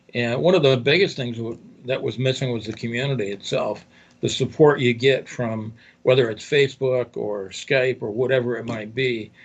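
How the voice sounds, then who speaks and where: At a moderate pace, the man speaks in a somewhat breathy voice. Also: medium pitch for a man, ordinary pitch variation. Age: 60s. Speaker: newspaper owner and affiliate marketer. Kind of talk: interview. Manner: halting.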